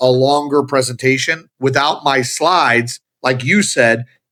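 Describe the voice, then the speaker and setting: Bright, sharp tone from a man at a fairly high pitch, moderate in pace, very even in loudness, with hardly any pauses. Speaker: automotive business leader and speaker. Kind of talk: casual interview chat.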